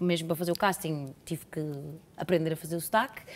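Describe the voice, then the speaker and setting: The speaker has a Lisbon accent. The intonation stays fairly even. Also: woman. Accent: former Porto accent, now Lisbon-style. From Portugal, Porto. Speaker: actress. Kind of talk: casual interview. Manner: halting.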